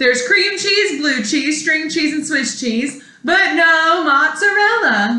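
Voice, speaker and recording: A woman's high, put-on character voice with a slight echo. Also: fairly slow pace. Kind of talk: bedtime story. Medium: read story. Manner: polite, cheerful.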